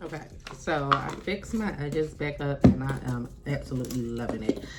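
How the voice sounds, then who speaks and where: A woman talks at a fairly slow pace. There is audible room echo and noticeable background noise. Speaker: beauty vlogger. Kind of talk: casual vlog chat to camera. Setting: at home by an open window. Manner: loud; animated.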